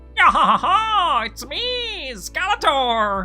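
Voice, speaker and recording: An extremely high, nasal put-on character voice at a very slow pace, with faint music in the background. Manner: mocking, theatrical.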